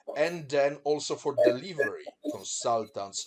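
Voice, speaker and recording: A man with a Polish accent. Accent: Polish accent, noticeable. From Poland. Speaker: business presenter. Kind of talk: business presentation.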